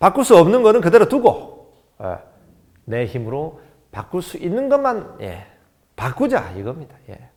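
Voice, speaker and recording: A man's high-pitched voice with very wide pitch swings, big swings in loudness, a fairly slow pace and long, frequent pauses. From South Korea, Gyeongnam (Jinju). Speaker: DJ and motivational speaker. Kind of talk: motivational lecture.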